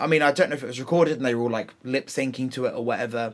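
A man's unremarkable speaking voice, pitched in the medium range, with ordinary pitch variation. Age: 30s. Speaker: drag cabaret performer. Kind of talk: casual interview chat.

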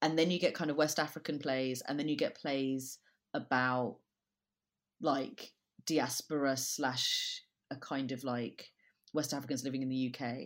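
A woman with a London accent talks in a very deep, low pitch. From London (Brixton), Jamaican family. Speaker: theatre director. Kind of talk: casual interview chat.

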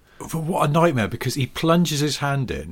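A man's voice with vocal fry, in a British accent. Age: 40s. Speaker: podcast co-host, motoring writer. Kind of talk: casual chat.

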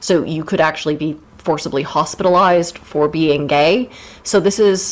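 The speaker has an American accent and ordinary pitch variation. Noticeable background noise is present. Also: woman, very deep, low pitch for a woman, moderate pace. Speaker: podcast host. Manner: joking, animated.

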